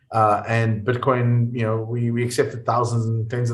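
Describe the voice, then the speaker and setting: A man's medium-pitched, somewhat breathy voice with a South African accent. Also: quiet background. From South Africa, small coastal town. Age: 40s. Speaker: entrepreneur and investor. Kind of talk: podcast interview.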